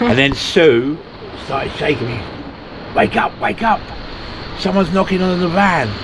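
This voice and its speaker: A man with a British accent speaks loudly at a high pitch and moderate pace, with lively intonation. He leaves long, frequent pauses over noticeable background noise. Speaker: van life vlogger. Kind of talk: casual vlog chat. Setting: outdoors.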